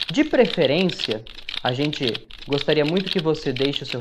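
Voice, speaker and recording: A man with a fairly high pitch speaks at a moderate pace amid noticeable background noise. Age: 20s. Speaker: sports podcast host, journalist. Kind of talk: casual football discussion podcast.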